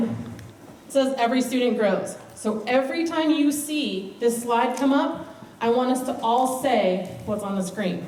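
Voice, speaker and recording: A woman speaks in a high pitch. The recording has audible room echo and noticeable background noise. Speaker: school administrator. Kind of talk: conference presentation. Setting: stage with audience. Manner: animated.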